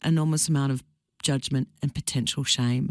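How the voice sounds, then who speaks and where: A woman with an Australian accent speaks at a moderate pace on a very clean recording with a silent background. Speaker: radio presenter. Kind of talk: radio interview host.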